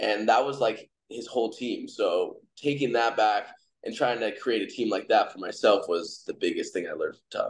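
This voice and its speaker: A man talks at a moderate pace, with the background quiet. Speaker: MMA fighter. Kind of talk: interview. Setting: video call. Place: home room. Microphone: video call.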